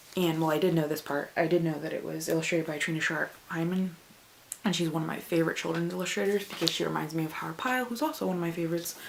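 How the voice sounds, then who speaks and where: A woman at a very fast pace, fairly low in pitch with ordinary pitch variation, over noticeable background noise. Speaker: book vlogger. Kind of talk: casual vlog. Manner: animated.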